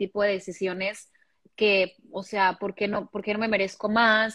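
Dry and close with no echo, a woman's medium-pitched voice comes at a moderate pace in a monotone, flat intonation. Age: 30s. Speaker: podcaster. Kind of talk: casual chat.

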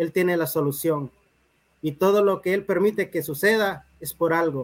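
A man speaks at a moderate pace with a high pitch. His pitch variation is ordinary. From Honduras, Talanga (Francisco Morazán). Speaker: poet and writer. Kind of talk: interview.

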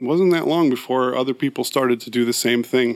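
A man with an American accent and an unremarkable speaking voice, at a moderate pace. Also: very clean recording, silent background. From San Francisco Bay Area, California. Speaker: musician and music website owner. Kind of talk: casual interview.

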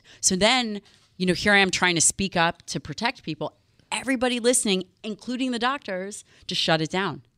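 A woman with an ordinary speaking voice talks at a fairly quick pace and medium pitch, with lively intonation. The very clean recording has a silent background and a dry, close sound with no echo. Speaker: doctor and nutrition expert. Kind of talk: casual chat. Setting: studio.

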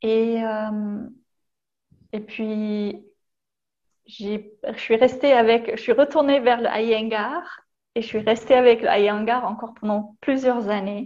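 A woman's fairly high voice in a German accent, with fairly even intonation, a very slow pace and long, frequent pauses. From Germany, partly France from age 14. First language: German (speaking French). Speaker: yoga teacher. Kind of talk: casual chat. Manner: halting, repeats words.

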